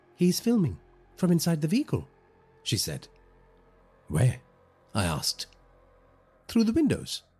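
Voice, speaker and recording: Music plays in the background as a man speaks with long, frequent pauses. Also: moderate pace. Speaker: horror podcast narrator. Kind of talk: first-person horror story narration, scripted and read aloud. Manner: measured, ominous storytelling pace building dread.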